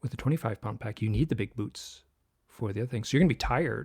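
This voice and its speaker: The recording is very clean, with a silent background and a dry, close sound free of echo. A man at a medium pitch speaks with lively intonation and vocal fry. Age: 60s. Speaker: author and illustrator. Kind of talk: interview conversation.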